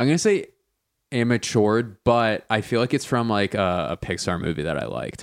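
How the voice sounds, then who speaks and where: This man uses a normal speaking voice at medium pitch and a fairly quick pace. The recording is very clean, with a silent background. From Philadelphia. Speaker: comedian. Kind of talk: casual chat.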